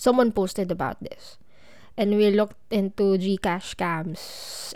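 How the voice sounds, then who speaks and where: A woman's medium-pitched voice with a Filipino accent, fairly even intonation and a fairly slow pace. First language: Tagalog. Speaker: podcast host. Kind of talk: personal storytelling monologue.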